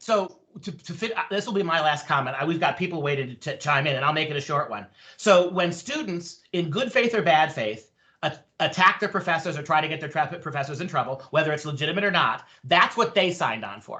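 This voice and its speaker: Lively intonation marks this man's fairly high voice. His pace is fairly quick. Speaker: professor, debate panelist. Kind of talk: panel debate. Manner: loud; animated.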